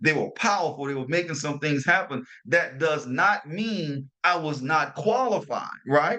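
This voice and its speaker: A man speaks in an animated tone with a New Orleans accent. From New Orleans, Louisiana. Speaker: motivational podcast host. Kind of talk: motivational talk. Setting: hotel room while traveling.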